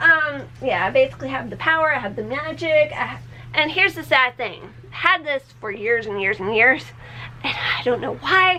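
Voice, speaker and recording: Projecting a raised voice in an American accent, a woman with high pitch and an animated tone speaks at a moderate pace with very wide pitch swings and big swings in loudness over noticeable background noise. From Tennessee, Nashville. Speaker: beauty and lifestyle vlogger. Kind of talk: casual vlog monologue. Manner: animated, chatty with many fillers; halting, self-interrupting.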